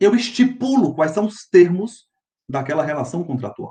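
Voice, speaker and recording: At a fairly slow pace, a man with a high pitch and a dark, mellow tone makes very wide pitch swings. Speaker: law professor. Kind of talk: lecture.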